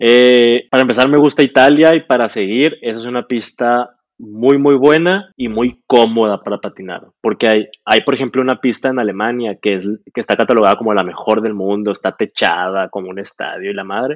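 A man with an unremarkable speaking voice, medium pitch and ordinary pitch variation at a fairly quick pace, in a dry, close sound with no echo. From Mexico, Sonora (Hermosillo). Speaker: speed skater, world champion athlete. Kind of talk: casual interview.

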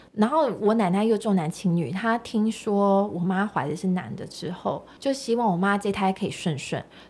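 On a very clean recording with a silent background, a woman with an unremarkable speaking voice talks at a medium pitch and moderate pace, with ordinary pitch variation and hardly any pauses. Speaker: meditation coach and single mother. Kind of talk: casual chat.

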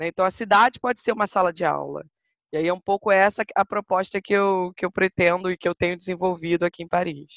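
A plain woman's voice at a medium pitch, an ordinary speaking voice, fairly quick, with fairly even intonation, in a dry, close sound with no echo and a quiet background. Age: 30s. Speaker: historian and walking tour guide. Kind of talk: interview.

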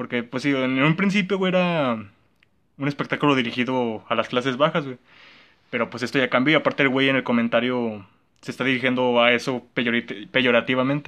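A man speaks at a medium pitch with a bright, sharp tone and ordinary pitch variation. He talks at a fairly quick pace over a quiet background. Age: young. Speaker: podcast co-host. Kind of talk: casual chat.

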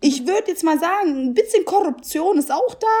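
Her pitch swinging very widely, a woman delivers her words at a fairly quick pace. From Germany, Italian family from Naples. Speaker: podcast co-host. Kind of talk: casual chat.

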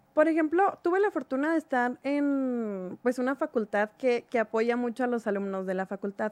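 Against a quiet background, a woman with a high pitch speaks at a moderate pace with lively intonation in a dry, close sound with no echo. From Mexico, Chihuahua. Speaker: writer. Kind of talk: radio interview. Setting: studio.

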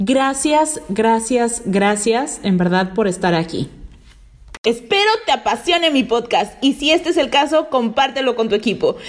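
Animated, high-pitched woman's voice with very wide pitch swings, very even loudness and a fairly slow pace. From Mexico, Veracruz. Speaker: podcast host, network marketing entrepreneur. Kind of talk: motivational podcast monologue.

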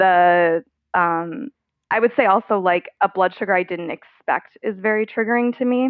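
At a moderate pace, a woman speaks in an ordinary speaking voice with a medium pitch and ordinary pitch variation. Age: 30s. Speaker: person living with type 1 diabetes. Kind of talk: casual interview.

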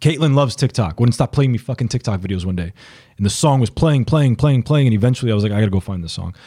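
A somewhat breathy man at a very fast pace, lively in intonation, dry and close with no echo. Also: medium pitch for a man. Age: 30s. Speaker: music artist manager. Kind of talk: casual chat.

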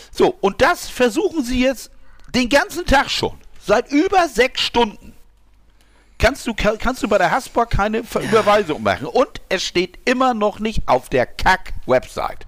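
An extremely high-pitched man's voice moves through very wide pitch swings. The pace is fairly slow. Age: 50s. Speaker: podcast co-host. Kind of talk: casual chat. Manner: halting.

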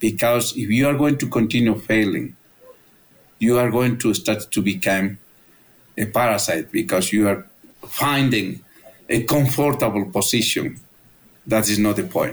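Medium pitch for a man, moderate pace with long, frequent pauses, very even loudness and ordinary pitch variation, plus noticeable background noise. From Peru, Andes highlands. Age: 50s. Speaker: biologist and conservationist. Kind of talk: interview. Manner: animated.

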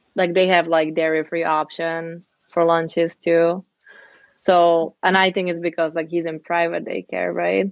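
With a Czech accent, a woman speaks at a fairly slow pace and a fairly low pitch in a monotone, flat intonation. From Czech Republic, Pilsen. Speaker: immigrant guest. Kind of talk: casual chat.

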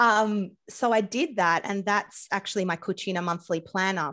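A woman speaks at a medium pitch with an Australian accent. Her intonation stays fairly even. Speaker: podcast host and food coach. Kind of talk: casual interview conversation. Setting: video call across time zones. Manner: humorous, chatty.

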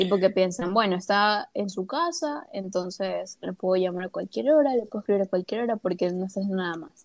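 A woman's plain, everyday voice, medium in pitch, at a moderate pace with hardly any pauses, ordinary pitch variation and a dry, close sound with no echo. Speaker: podcast co-host. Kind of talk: casual chat.

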